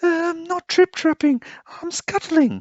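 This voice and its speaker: It is a put-on character voice, squeaky and extremely high in pitch. The delivery comes at a fairly slow pace. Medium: read story.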